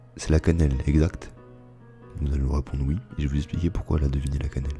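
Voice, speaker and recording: Music plays behind a man with a very deep, low pitch. He talks very fast in a monotone, flat intonation. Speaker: gameplay narrator. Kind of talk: ASMR gameplay commentary. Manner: soft-spoken, whispered.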